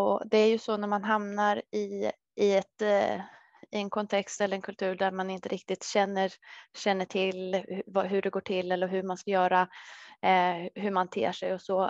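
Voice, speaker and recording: A woman speaks at a medium pitch and moderate pace in a monotone, flat way. The sound is dry with no echo, over a quiet background. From Sweden, Södertälje; Sweden. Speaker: dietitian; presenter. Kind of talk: webinar talk. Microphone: headset.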